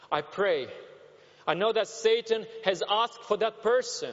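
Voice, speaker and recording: A man's high-pitched voice against noticeable background noise. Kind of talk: sermon. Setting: church.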